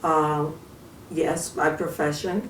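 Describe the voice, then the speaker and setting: Speaking at a very slow pace with an American accent, a woman's very deep, low pitch comes through noticeable background noise and audible room echo. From New York City, Harlem. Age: 70s. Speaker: retired social worker and community activist. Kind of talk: interview.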